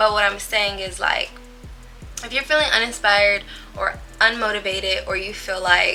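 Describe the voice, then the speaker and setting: Music plays underneath. Over it, a woman talks. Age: 20s. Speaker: lifestyle vlogger. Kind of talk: casual vlog talk. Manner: chatty, filler-heavy.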